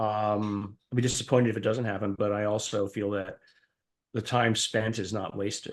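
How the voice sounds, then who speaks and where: The delivery moves at a moderate pace in a monotone, flat intonation. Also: man, fairly low pitch for a man. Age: 60s. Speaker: professor and scientist. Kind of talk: interview. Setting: podcast. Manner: halting.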